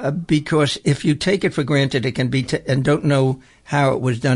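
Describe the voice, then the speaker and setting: A man with an American accent speaks at a fairly quick pace in a somewhat breathy voice. His pitch is medium, with ordinary variation. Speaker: radio host and prisoners' rights activist. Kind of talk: radio interview. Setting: radio studio.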